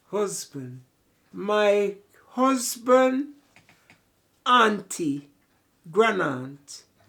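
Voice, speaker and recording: Using a Jamaican accent, a woman speaks at a very slow pace with long, frequent pauses, her medium pitch swinging very widely. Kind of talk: interview answer.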